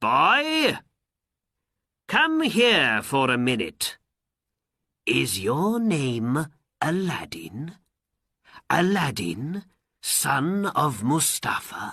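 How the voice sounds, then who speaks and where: In a put-on character voice, a man speaks very slowly at a fairly high pitch, with very wide pitch swings and long, frequent pauses. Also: very even loudness. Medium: read story. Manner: soft, deliberate.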